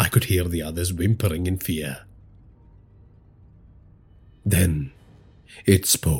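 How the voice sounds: At a slow pace, a man speaks low for a man, with a slightly mellow tone, a slightly husky edge and ordinary pitch variation.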